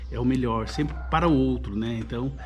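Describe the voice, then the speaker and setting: With a rural Brazilian accent, a man talks over noticeable background noise in a space with audible room echo. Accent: caipira, countryside Brazilian. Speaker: YouTuber, personal development. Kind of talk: casual monologue to camera. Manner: halting, many repetitions and fillers.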